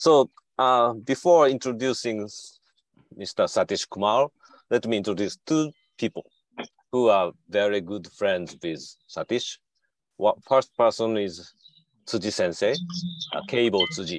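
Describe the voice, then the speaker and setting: Pausing long and often, a man with a Japanese accent speaks fairly slowly at medium pitch with lively intonation, in a dry, close sound with no echo. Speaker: symposium MC, professor. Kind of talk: event hosting.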